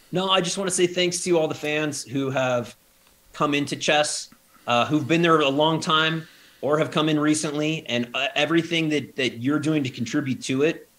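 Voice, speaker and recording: A man with an unremarkable speaking voice, fairly even intonation and a fairly quick pace. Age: 40s. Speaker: chess company CEO. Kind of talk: interview.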